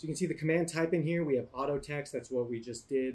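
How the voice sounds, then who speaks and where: Here a man speaks in a fairly high pitch with ordinary pitch variation. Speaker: YouTube tutorial host. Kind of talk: tutorial. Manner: fast.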